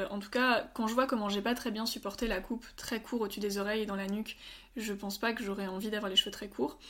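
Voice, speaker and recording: Her voice is a plain, everyday voice, fairly high for a woman, with fairly even intonation. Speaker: medical student. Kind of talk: interview.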